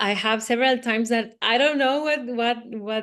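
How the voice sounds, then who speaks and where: A woman with a high pitch speaks in a fairly even intonation over a quiet background. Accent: Spanish. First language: Spanish. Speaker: actress and jazz singer. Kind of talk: interview. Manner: halting, frequent repetitions.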